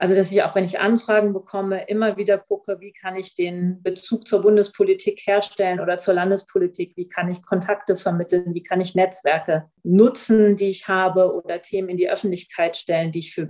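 Dark, mellow tone from a woman at a moderate pace, in a monotone, flat intonation. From northern Germany, Oldenburg (Lower Saxony). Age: 40s. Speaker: member of parliament. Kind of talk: interview.

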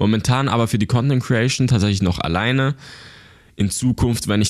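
With ordinary pitch variation, a man talks on a very clean recording with a silent background. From Switzerland, Basel area. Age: 20s. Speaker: YouTube creator. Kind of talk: interview. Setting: office.

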